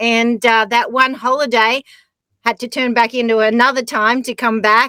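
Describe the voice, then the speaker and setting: With an Australian accent, a woman speaks at a fairly high pitch. Her pace is fairly slow and her intonation monotone and flat. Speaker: skier and adventurer. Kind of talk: casual chat.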